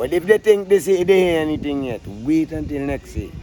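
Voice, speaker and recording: With a Vincentian accent, a man speaks at a moderate pace. His intonation is lively. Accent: Vincentian Creole English. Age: 60s. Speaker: calypso singer. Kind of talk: interview. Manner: outspoken, emphatic.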